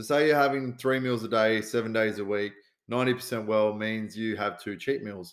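The recording is very clean, with a silent background. A man with an Australian accent speaks at a moderate pace and medium pitch, with fairly even intonation. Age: 30s. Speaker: podcast host, fitness coach and first responder. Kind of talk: casual solo podcast advice. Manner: casual, sweary, with many fillers.

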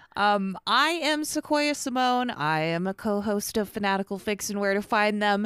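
Here a woman uses a normal speaking voice at medium pitch, with lively intonation. She keeps a moderate pace and hardly pauses at all. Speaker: fan fiction podcast co-host. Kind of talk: casual chat.

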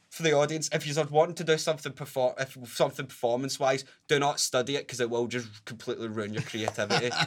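Speaking at a very fast pace with hardly any pauses, a man with a Glaswegian accent has a fairly high pitch and ordinary pitch variation. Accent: Glaswegian Scottish. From Scotland, Glasgow (Pollok, south side). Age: 20s. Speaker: ukulele player and musician. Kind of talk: casual interview chat. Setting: studio.

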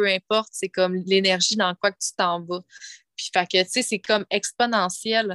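With a Quebec accent, a woman speaks at a medium pitch in a monotone, flat intonation. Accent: Québécois French. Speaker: spiritual coach and former hairdresser. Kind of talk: casual interview chat. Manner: halting, many repetitions.

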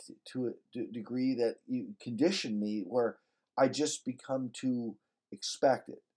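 A man speaks at a very slow pace. His voice is medium-pitched with a dark, mellow tone. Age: 50s. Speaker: podcast host's husband, recurring guest. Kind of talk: casual chat.

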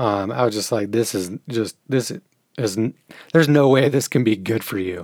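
A man with a plain, everyday voice talks at a moderate pace, the sound dry and close with no echo. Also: medium pitch for a man, ordinary pitch variation. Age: 40s. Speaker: podcast host. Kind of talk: solo monologue.

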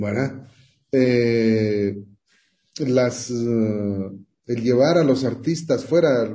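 This man's voice has a dark, mellow tone at medium pitch, somewhat breathy, with ordinary pitch variation. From Guatemala. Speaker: music industry manager. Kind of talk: radio interview.

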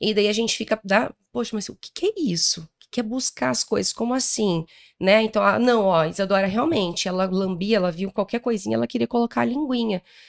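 Barely pausing, a woman with a plain, everyday voice talks at a fairly quick pace in a medium pitch, her intonation lively and her loudness swinging widely, the sound dry and close with no echo. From interior of Paraná, Brazil. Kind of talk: interview. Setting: event recording in Rio de Janeiro.

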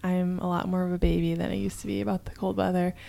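A woman speaks at a medium pitch. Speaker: podcast co-host. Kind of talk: casual chat. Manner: calm.

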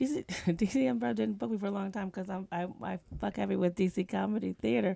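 A woman with an American accent speaks at a fairly quick pace in a medium pitch, with very wide pitch swings and big swings in loudness. The recording is very clean, with a silent background. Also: dry, close sound with no echo. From New Jersey. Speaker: comedian. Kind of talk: casual chat. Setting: studio.

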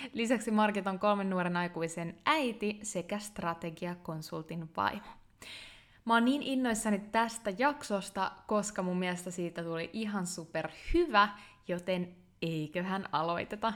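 Fairly slow, medium-pitched speech from a woman, her pitch varying in an ordinary way, recorded very cleanly against total silence. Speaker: podcast host and online entrepreneur. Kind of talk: interview; scripted narration.

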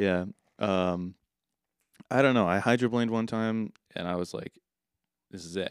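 A man talks at a moderate pace and a fairly low pitch, with fairly even intonation and long, frequent pauses. The recording is very clean, the background silent. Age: 30s. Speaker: podcast co-host and music producer. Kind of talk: casual chat.

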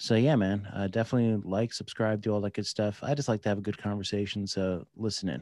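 Someone with an American accent speaks at a very fast pace, with hardly any pauses and fairly even intonation. The recording is very clean, with a silent background. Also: man, fairly low pitch for a man. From New Jersey, US. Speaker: veteran, federal agent and podcaster. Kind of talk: casual interview chat.

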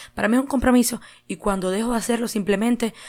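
The tone is animated. A woman talks with ordinary pitch variation. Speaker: podcast host. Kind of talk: casual monologue.

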